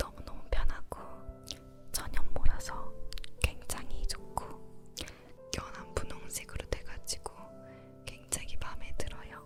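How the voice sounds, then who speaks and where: Over music in the background, a woman whispers at a fairly slow pace, leaving long, frequent pauses. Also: big swings in loudness. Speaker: ASMR creator. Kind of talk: casual talk to camera about makeup. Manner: whispered, soft-spoken.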